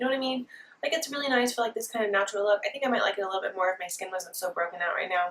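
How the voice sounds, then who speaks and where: The speaker talks at a very fast pace with an American accent. The intonation is lively. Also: woman. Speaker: beauty vlogger. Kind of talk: makeup tutorial.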